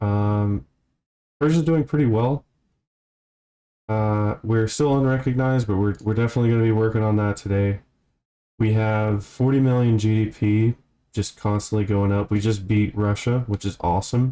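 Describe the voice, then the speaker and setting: A man speaks in a fairly low pitch with a dark, mellow tone and fairly even intonation. His loudness stays very even, and he pauses long and often. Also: moderate pace. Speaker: gaming video creator. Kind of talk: let's play commentary. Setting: home room recording. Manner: casual, halting with fillers.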